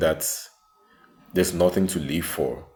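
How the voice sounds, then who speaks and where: A man with a Nigerian accent speaks at a very deep, low pitch. His pace is moderate and his intonation monotone and flat. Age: 30s. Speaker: small business owner and vlogger. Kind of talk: personal testimony vlog.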